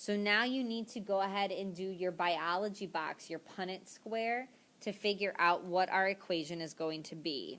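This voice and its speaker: In an unremarkable speaking voice, a woman speaks at a moderate pace with medium pitch and ordinary pitch variation. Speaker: math teacher. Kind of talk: tutorial. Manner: casual, filler words.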